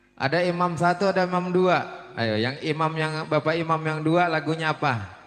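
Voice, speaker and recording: Over noticeable background noise, a fairly high-pitched man speaks at a moderate pace with very even loudness and ordinary pitch variation. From Palembang, South Sumatra. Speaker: wedding MC. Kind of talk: event hosting. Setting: wedding reception with live music. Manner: animated.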